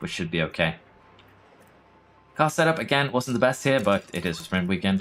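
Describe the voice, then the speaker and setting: Very wide pitch swings mark this fairly quick delivery, broken by long, frequent pauses. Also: man, fairly low pitch for a man. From Norway. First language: Norwegian. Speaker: gaming streamer. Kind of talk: live gameplay stream commentary. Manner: casual, conversational.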